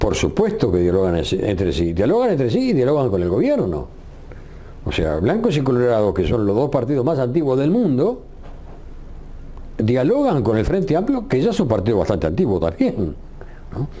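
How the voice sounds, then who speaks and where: With audible room echo and noticeable background noise, a man speaks with very wide pitch swings and long, frequent pauses. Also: medium pitch for a man, moderate pace. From Uruguay. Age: 70s. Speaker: retired radio journalist. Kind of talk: interview.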